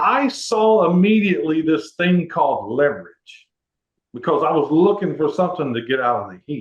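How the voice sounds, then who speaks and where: A man with an American accent talks at a moderate pace, his pitch fairly high with very wide swings. His loudness also swings widely. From Texas, Houston. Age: 60s. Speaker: network marketer. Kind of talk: interview testimony. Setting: conference call.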